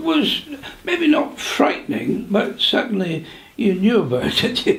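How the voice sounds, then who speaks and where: Speaking with a British accent at a fairly slow pace, a man uses an extremely high pitch with very wide pitch swings and very even loudness, and audible room echo surrounds him. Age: 80s+. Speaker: war veteran. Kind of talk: interview reminiscence. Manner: halting.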